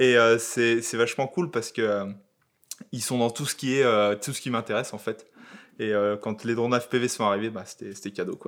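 A man with an ordinary speaking voice talks at a moderate pace in a medium pitch with fairly even intonation. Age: 30s. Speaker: YouTube content creator. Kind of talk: casual chat.

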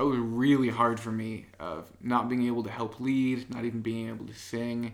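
With an American accent, a man speaks at a moderate pace and medium pitch, his intonation fairly even. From US Midwest, Illinois. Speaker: app developer and worship leader. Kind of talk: casual chat. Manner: quiet, not talkative.

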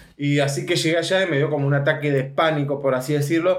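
In audible room echo, a man talks at a fairly high pitch. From Argentina, Mendoza. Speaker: adult film actor. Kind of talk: interview answers.

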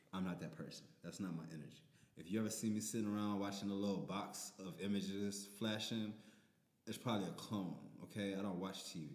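Amid audible room echo, a man speaks at a fairly quick pace in a fairly low pitch with ordinary pitch variation. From New Orleans. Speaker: DJ and rapper. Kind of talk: casual chat.

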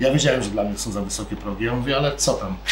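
A man talking at a very fast pace, with audible room echo and noticeable background noise. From Poland. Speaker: sushi restaurant owner and chef. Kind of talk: casual interview. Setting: in his restaurant.

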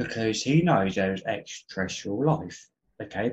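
Somewhat breathy, a man with an English accent speaks at a moderate pace through very wide pitch swings. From England. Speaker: podcast guest. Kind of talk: casual chat. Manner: animated.

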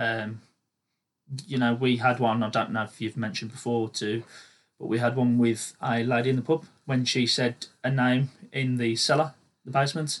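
Using an English accent, a man of medium pitch talks at a moderate pace with fairly even intonation. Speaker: amateur paranormal investigator. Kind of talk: casual chat. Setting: home studio.

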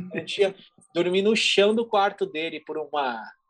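A man is speaking. His pace is moderate. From São Paulo state, Brazil. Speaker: advertising executive. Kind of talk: casual interview chat.

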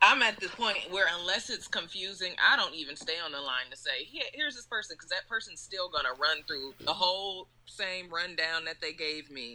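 A woman's normal speaking voice at medium pitch, with lively intonation, a moderate pace and hardly any pauses. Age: young. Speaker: podcast co-host. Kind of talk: casual chat.

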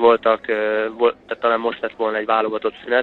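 The speaker is a man. He talks at a mid-range pitch. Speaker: professional footballer and trainee lawyer. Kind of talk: casual interview. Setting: phone call. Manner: hesitant, many filler sounds.

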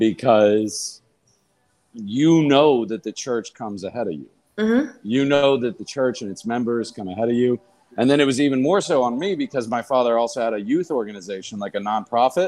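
This man has a normal speaking voice, medium in pitch, moving at a fairly quick pace with ordinary pitch variation. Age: 40s. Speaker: comedian and podcast co-host. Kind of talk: casual chat.

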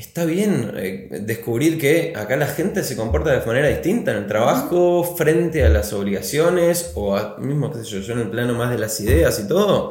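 Speaking at a fairly slow pace with a Rioplatense accent, a man shows vocal fry and very wide pitch swings in a room with audible echo. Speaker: writer and screenwriter. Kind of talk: interview. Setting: studio.

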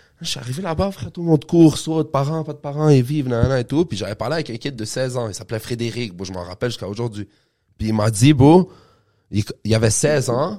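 In a Quebec accent, a man speaks at a fairly quick pace and medium pitch, his tone dark and mellow. His intonation is lively, his loudness swings widely, and the recording is very clean with a silent background. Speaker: podcast host, jiu-jitsu gym member. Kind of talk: casual interview.

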